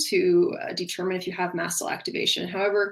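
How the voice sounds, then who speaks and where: A woman's medium-pitched voice is heard with noticeable background noise. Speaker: functional nutrition practitioner. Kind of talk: webinar presentation. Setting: online webinar with screen share. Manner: fast.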